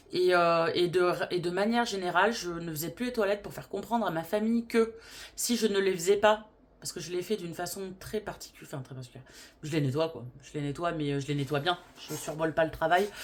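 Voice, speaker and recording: A woman with a fairly low voice speaks at a fairly quick pace, her loudness swinging widely and her pitch varying in an ordinary way. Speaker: vlogger. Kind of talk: casual vlog talk. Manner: hesitant, many fillers.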